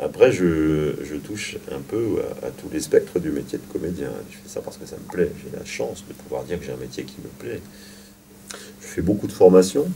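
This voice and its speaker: Through noticeable background noise, a man talks at a moderate pace with big swings in loudness. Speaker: actor and drama teacher. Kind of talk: interview. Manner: halting.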